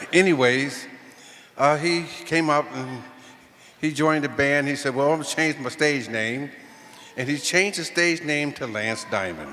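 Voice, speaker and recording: There is audible room echo and noticeable background noise. A man with an American accent talks at a moderate pace, pitched fairly high, with ordinary pitch variation. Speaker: musician. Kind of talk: tribute speech. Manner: halting.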